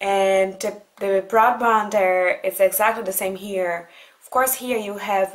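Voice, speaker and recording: Speaking with a Brazilian accent, a woman uses a medium pitch and fairly even intonation. She goes at a fairly slow pace, and her loudness swings widely. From Brazil (Goiânia). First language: Portuguese. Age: 20s. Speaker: vlogger. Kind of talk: casual talk to camera answering letters.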